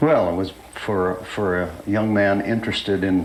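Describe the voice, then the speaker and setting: Over noticeable background noise and audible room echo, a man with an American accent talks at a fairly slow pace in a fairly low pitch with fairly even intonation. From Pittsburgh, Pennsylvania, US. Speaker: retired fighter pilot. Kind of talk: oral history interview. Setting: recorded interview at an air show. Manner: hesitant, with frequent fillers.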